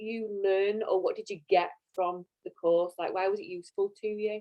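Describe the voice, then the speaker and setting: Speaking at a fairly slow pace, a woman with a Yorkshire accent uses a fairly high pitch and ordinary pitch variation. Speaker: course interviewer. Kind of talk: interview on live stream. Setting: video call.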